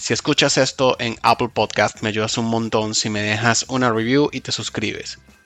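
Music in the background behind a man's voice at a medium pitch. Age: 40s. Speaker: podcaster. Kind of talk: casual monologue.

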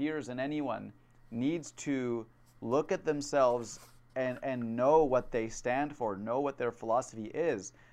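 At a fairly slow pace, a normal speaking voice shows ordinary pitch variation against a quiet background. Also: man. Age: 20s. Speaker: podcast host. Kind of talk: casual chat.

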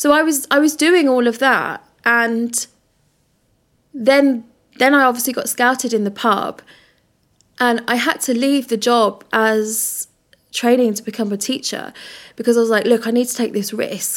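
Fairly even intonation with long, frequent pauses in a very clean recording with a silent background. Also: woman, high pitch for a woman, moderate pace. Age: 30s. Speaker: plus-size model and body positivity activist. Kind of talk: casual interview chat.

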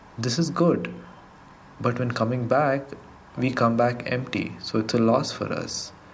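A man speaks fairly slowly at a medium pitch, leaving long, frequent pauses. Audible room echo and noticeable background noise fill the recording. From Karnataka, India (Gulbarga). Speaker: delivery rider. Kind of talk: testimony.

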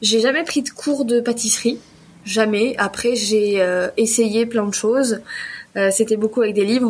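A woman's voice at a moderate pace, with fairly even intonation over noticeable background noise. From southwest France, Pau. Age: 30s. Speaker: self-employed pastry chef. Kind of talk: podcast interview. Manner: laughs often.

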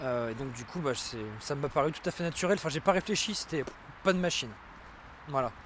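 A man talks at a fairly quick pace, his pitch fairly high and his intonation lively. He leaves long, frequent pauses. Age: 30s. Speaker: tattoo artist. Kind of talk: casual conversation.

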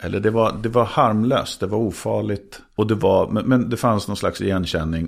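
A man with a plain, everyday voice speaks at a fairly low pitch and a moderate pace, with ordinary pitch variation and hardly any pauses, on a very clean recording with a silent background. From Sweden, grew up in Skåne, Trollhättan and Södertälje area. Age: 50s. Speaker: TV presenter and actor. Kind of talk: casual chat.

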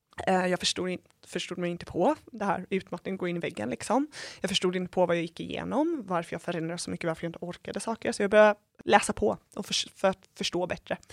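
A woman talks at a very fast pace, the sound dry and close with no echo on a very clean recording with a silent background. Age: 20s. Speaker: stress and workplace health educator. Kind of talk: interview.

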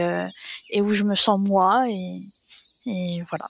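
A woman at a very slow pace, medium in pitch, with monotone, flat intonation. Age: 30s. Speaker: interviewee sharing personal story. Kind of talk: testimony. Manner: hesitant, many fillers.

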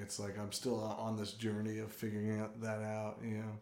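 Audible room echo surrounds a man with an American accent who speaks at a moderate pace in a fairly low pitch. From San Diego, California. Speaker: biochemistry professor. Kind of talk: casual interview.

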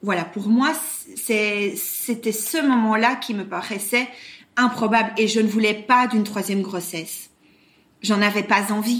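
In a slight Belgian accent, a woman talks very slowly at a fairly high pitch with fairly even intonation. The room echo is audible. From Belgium, Brussels. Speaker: surrogate mother. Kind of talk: interview testimony. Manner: hesitant, many fillers and repetitions.

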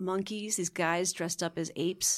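A woman with an American accent uses a plain, everyday voice. Her pitch is fairly low, her pace moderate and her intonation fairly even. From Connecticut, US. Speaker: actress and director. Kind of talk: casual interview chat.

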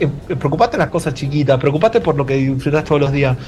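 Noticeable background noise runs beneath a man talking very fast with an Argentine accent. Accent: Argentine Spanish (rioplatense voseo). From Argentina, Mendoza. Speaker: advertising creative director. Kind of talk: casual chat. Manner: halting, with repeated words.

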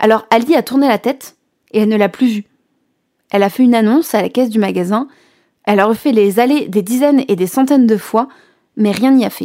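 Speaking at a fairly quick pace with long, frequent pauses, a woman has a fairly high pitch, a dark, mellow tone and ordinary pitch variation. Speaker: radio host and storyteller. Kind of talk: scripted narration.

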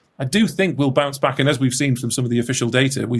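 Talking at a very fast pace, the man sounds somewhat breathy. His words come quickly throughout. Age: young. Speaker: regional mayor and politician. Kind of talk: interview.

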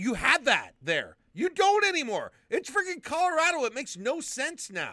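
Raised and projected, a man's voice in an American accent sits at an extremely high pitch, bright and sharp in tone, with very wide pitch swings, a moderate pace and hardly any pauses. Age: 40s. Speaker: sports podcast co-host. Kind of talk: casual chat. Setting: live recording for patrons.

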